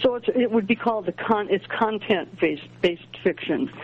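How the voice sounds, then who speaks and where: With noticeable background noise underneath, a woman keeps a fairly quick pace and ordinary pitch variation. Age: 70s. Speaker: astrologer and author. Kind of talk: interview. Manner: halting.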